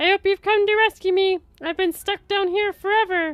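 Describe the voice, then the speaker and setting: A put-on character voice that sounds female. The pitch is extremely high for a woman. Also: moderate pace. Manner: grating, falsely needy.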